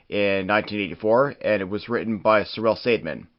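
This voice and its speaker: A man with a normal speaking voice, medium pitch, a moderate pace and a Canadian accent. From Canada. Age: 30s. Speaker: wrestling history podcast host. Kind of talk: podcast narration reading quotes and articles.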